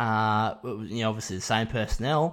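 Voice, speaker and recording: A man with an Australian accent is heard on a very clean recording where the background is silent. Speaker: sports podcast host. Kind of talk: solo podcast monologue.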